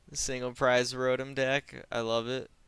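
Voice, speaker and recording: A man at medium pitch speaks at a fairly slow pace in a relaxed tone that is bright and sharp. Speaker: game streamer. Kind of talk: casual gameplay stream chat. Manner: loud; casual, relaxed.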